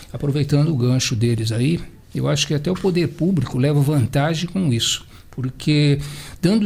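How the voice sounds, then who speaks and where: Lively intonation carries this man's fairly high voice. His delivery is somewhat breathy. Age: 70s. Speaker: marathon runner. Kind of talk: radio round-table discussion. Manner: halting.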